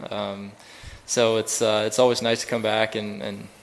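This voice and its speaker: A man speaks at a medium pitch in a flat monotone. Noticeable background noise sits behind him. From Sweden. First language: Swedish. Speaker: professional golfer. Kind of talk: press conference. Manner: hesitant, many fillers.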